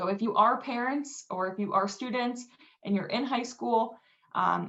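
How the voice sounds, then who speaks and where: Delivered at a moderate pace, a plain, everyday voice carries ordinary pitch variation. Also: woman. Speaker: financial aid presenter. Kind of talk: webinar presentation.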